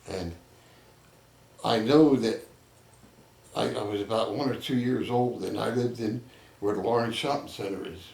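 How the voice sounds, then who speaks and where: A man with an American accent at a medium pitch, ordinary pitch variation and a moderate pace, with long, frequent pauses and audible room echo. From Trenton, New Jersey. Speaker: local elder interviewee. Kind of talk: oral history interview. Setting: neighbor's home.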